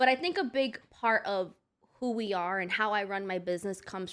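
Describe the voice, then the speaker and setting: Very clean, with a silent background, this recording features a woman with a New York accent. Her pitch is medium, with ordinary variation. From Brooklyn, New York. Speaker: hairstylist and beauty business owner. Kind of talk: casual podcast interview.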